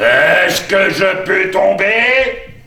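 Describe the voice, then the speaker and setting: A man's hoarse, put-on character voice at an extremely high pitch, with a slight echo. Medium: stage play. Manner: solemn.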